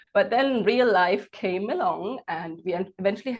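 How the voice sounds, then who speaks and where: A woman talks at a moderate pace with a medium pitch. Her pitch varies in an ordinary way, and the background is quiet. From Germany. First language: German. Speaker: entrepreneur and coach. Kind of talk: interview.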